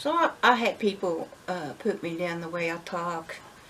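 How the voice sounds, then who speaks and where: This woman's voice is fairly low in pitch and her pace is fairly slow. Noticeable background noise runs under her speech. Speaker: homestead vlogger. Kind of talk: casual monologue. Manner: halting.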